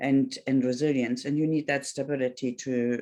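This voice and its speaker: In a German accent, a woman with a very deep, low pitch speaks at a moderate pace in a flat, monotone way. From Germany. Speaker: Pilates instructor and life coach. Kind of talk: talk to online audience. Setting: video call. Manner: halting.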